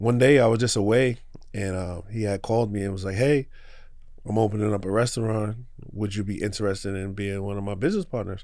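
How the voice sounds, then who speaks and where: Speaking very fast with a New York accent, a man keeps his intonation fairly even and his pitch fairly low. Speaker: small business owner. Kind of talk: podcast interview. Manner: casual.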